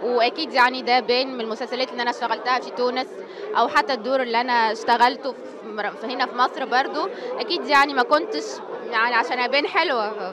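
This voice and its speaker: A woman's high voice at a very fast pace, with ordinary pitch variation and big swings in loudness, over crowd noise in the background and audible room echo. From Tunisia. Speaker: actress. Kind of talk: interview.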